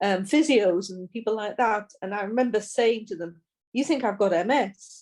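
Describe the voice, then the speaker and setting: A woman with a British accent speaks at a moderate pace in a medium pitch, with ordinary pitch variation, on a very clean recording with a silent background. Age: 60s. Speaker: person with multiple sclerosis. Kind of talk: podcast interview. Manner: halting.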